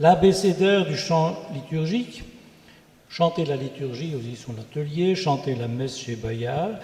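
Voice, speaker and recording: A man with a Belgian accent, fairly high pitch and lively intonation, speaking at a fairly slow pace against noticeable background noise. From Belgium. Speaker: church organist and composer. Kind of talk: self-introduction on a panel.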